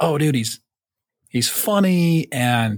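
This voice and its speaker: A man speaks at a fairly slow pace with lively intonation and a somewhat breathy voice, in a very clean recording with a silent background and a dry, close sound with no echo. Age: 40s. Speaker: podcast host. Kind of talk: casual chat, storytelling podcast. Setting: studio, wearing headphones. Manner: casual, profane, jokey.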